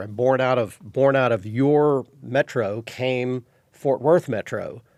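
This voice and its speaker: A man speaks at a medium pitch with a Texan accent. The sound is dry and close with no echo, in a very clean recording with a silent background. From Texas. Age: 60s. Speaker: fishing TV show host. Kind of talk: casual interview chat.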